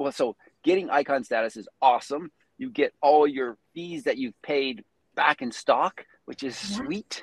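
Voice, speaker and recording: A man talks at a fairly slow pace with a fairly high pitch. His intonation is lively, in a dry, close sound with no echo. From Prince Edward Island, Canada. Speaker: real estate agent. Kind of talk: interview. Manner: halting, many fillers.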